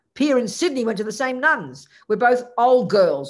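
At a moderate pace, someone talks with an Australian accent. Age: 70s. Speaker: Buddhist nun teacher. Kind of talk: Buddhist teaching talk with Q&A. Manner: casual, chatty, humorous.

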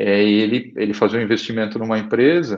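A man speaks at a moderate pace. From Brazil, São Paulo state interior (Araraquara). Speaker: tech company founder and CEO. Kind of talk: interview. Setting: live video stream. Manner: halting, many repetitions.

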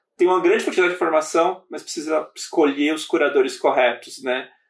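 A man speaks at a fairly quick pace. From Brazil, São Paulo (born in Bahia). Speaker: podcast host and startup founder. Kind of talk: casual interview chat.

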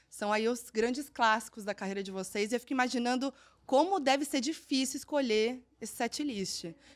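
Her tone animated, a woman speaks at a moderate pace in a high pitch with ordinary pitch variation. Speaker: presenter and journalist. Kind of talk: interview.

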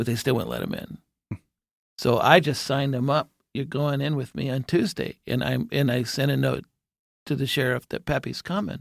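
With a medium pitch and some vocal fry, a man talks at a moderate pace with ordinary pitch variation in a dry, close sound with no echo. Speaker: jail ministry volunteer. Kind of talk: casual chat.

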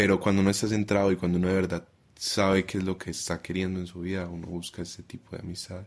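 At a very fast pace, a man with a very deep, low pitch speaks in a monotone, flat intonation. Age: 20s. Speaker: primary school teacher. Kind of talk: casual chat.

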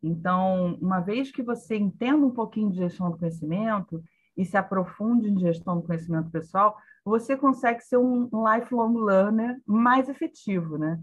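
With a medium pitch and lively intonation, a woman speaks at a moderate pace in a somewhat breathy voice against a quiet background. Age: 50s. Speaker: knowledge management specialist. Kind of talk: casual chat. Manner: halting.

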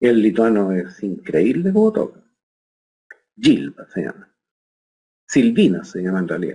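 A man speaks at a fairly slow pace. Long, frequent pauses fill his speech. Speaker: orchestral bassoonist. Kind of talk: interview.

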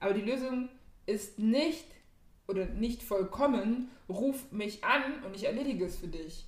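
With audible room echo, a woman speaks at a fairly slow pace with ordinary pitch variation. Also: fairly high pitch for a woman. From Germany, Ghanaian community. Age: 20s. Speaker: podcast co-host. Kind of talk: casual chat.

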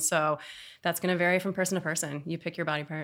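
A very fast, bright, sharp voice with a Californian accent, in a very clean recording with a silent background. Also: woman. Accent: General American (California). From Oakland, California. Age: 30s. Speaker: sex educator. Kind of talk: casual interview.

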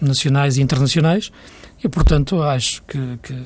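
In an unremarkable speaking voice, a man talks at a fairly quick pace with fairly high pitch and ordinary pitch variation. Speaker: football pundit. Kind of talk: casual chat.

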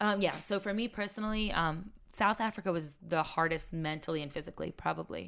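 With an American accent and vocal fry, a woman speaks fairly quickly in a fairly low pitch, hardly pausing at all. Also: ordinary pitch variation. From Maryland, Carroll County. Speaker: reality TV survivalist. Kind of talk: casual interview.

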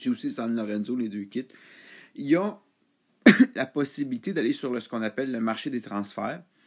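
In a very clean recording with a silent background, a man with a Quebec accent speaks at medium pitch and a moderate pace, with ordinary pitch variation and long, frequent pauses. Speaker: football podcaster. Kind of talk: solo casual monologue. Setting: at home.

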